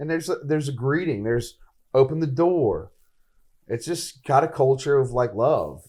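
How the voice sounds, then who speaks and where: A man's fairly high, somewhat breathy voice with a dark, mellow tone, a Southern US accent and a moderate pace. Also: ordinary pitch variation. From northern Mississippi. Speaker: podcast host. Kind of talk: casual chat. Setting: live recording at a coffee shop.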